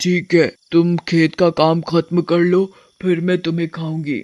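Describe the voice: In a cartoonish character voice, the speaker holds a middle pitch with monotone, flat intonation at a moderate pace.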